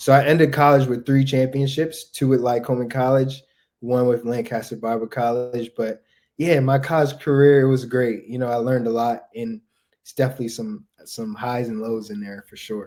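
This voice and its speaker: A man with an American accent talks at a moderate pace with fairly even intonation. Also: medium pitch for a man, big swings in loudness. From US, Delaware. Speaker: basketball player. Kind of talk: podcast interview.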